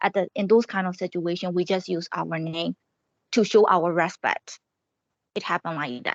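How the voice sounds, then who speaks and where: In a Burmese accent, a woman speaks at a moderate pace and fairly low pitch, with fairly even intonation and long, frequent pauses. The sound is dry and close with no echo, over a quiet background. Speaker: student. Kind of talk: class presentation. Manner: halting.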